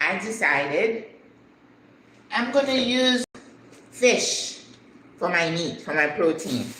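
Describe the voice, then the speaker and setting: Noticeable background noise and audible room echo surround a woman's voice. She talks at a fairly slow pace with lively intonation. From Haiti. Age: 60s. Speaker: retired business owner, cooking vlogger. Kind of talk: casual live-stream cooking chat. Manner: conversational, chatty.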